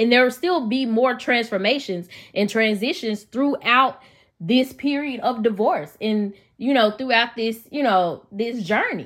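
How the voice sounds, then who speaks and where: On a very clean recording with a silent background, a woman with a Memphis accent speaks at a fairly high pitch in an animated tone, at a fairly slow pace with ordinary pitch variation. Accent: Southern US, Memphis. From Memphis, Tennessee. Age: 30s. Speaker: podcast host. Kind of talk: solo podcast monologue, personal testimony. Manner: conversational, animated, faith-inflected.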